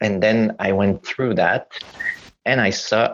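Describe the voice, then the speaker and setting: A man speaks with a Quebec accent. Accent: Quebecois French accent in English. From Quebec, Montreal. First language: French. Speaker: playwright. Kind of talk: casual chat. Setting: video call. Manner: halting.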